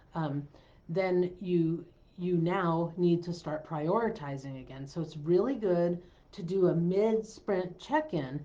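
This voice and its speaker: A woman's dark, mellow voice, fairly low in pitch, at a very slow pace, with ordinary pitch variation and big swings in loudness. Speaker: business coach. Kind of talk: live stream talk. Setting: live stream.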